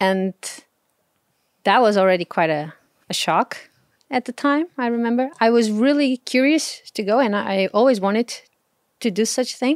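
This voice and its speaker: A woman with a Portuguese accent speaks at a moderate pace and a fairly high pitch, with lively intonation and long, frequent pauses. The very clean recording has a silent background and a dry, close sound with no echo. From Portugal. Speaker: travel blogger. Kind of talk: casual chat. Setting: outdoors.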